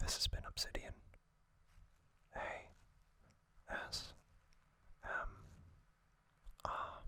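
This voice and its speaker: Very slow whispering broken by long, frequent pauses. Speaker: ASMR youtuber. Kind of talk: ASMR whispered narration. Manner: soft-spoken.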